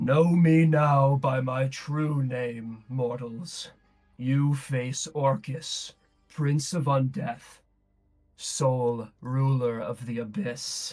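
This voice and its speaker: Against faint music in the background, a man does a booming, guttural put-on character voice at medium pitch and a very slow pace. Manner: menacing, grand.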